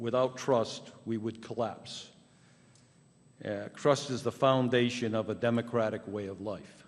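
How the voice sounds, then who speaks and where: A man's flat, monotone delivery at a fairly slow pace. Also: medium pitch for a man. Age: 70s. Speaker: public commenter. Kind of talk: public comment at town council meeting. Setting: town council meeting. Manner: halting.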